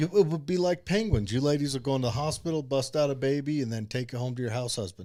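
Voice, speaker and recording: Very fast and with hardly any pauses, a man speaks at a fairly high pitch with lively intonation. His tone is dark and mellow. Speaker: podcast co-host. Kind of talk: casual chat.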